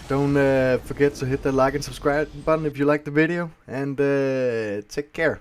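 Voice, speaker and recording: An unremarkable speaking voice belongs to a man who talks at a moderate pace and fairly high pitch, with fairly even intonation and hardly any pauses. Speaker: gaming YouTuber. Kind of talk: live gameplay commentary.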